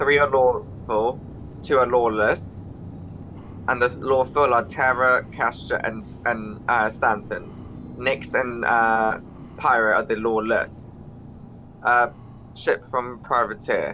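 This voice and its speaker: A man with a British accent and medium pitch speaks very slowly in a bright, sharp, monotone voice at a very even volume, with long, frequent pauses. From Britain. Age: 20s. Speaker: video game player. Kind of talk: casual chat.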